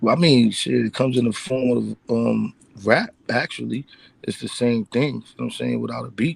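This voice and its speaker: A man with a Bronx accent speaks at a moderate pace in a dry, close sound with no echo. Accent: New York, Bronx. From Bronx, New York. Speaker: rap artist. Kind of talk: casual interview.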